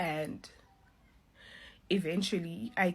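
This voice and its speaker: A woman speaks with a fairly low pitch. Her voice sounds somewhat breathy. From South Africa. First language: not English. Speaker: social media influencer sharing a vision. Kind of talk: testimony. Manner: casual.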